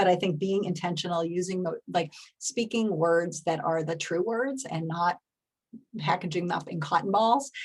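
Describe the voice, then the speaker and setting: Somewhat breathy and fairly low-pitched, a woman speaks at a moderate pace with ordinary pitch variation. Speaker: public health advocacy executive, keynote speaker. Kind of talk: conference keynote talk. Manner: casual, conversational.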